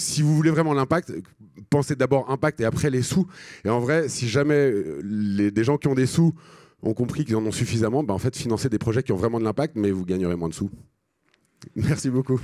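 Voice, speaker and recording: A man's medium-pitched voice with lively intonation at a fairly quick pace, broken by long, frequent pauses, in a very clean recording with a silent background and a dry, close sound with no echo. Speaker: social entrepreneur. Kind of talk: conference talk. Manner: fast; halting.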